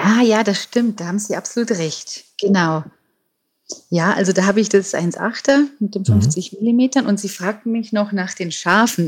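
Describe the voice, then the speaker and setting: Somewhat breathy, a woman speaks at medium pitch and a fairly slow pace with ordinary pitch variation. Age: 50s. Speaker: nature photographer. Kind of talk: interview.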